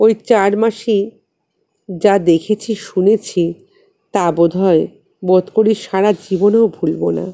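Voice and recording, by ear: There is vocal fry in this woman's voice, which has a dark, mellow tone. She talks at a slow pace. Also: medium pitch for a woman, fairly even intonation.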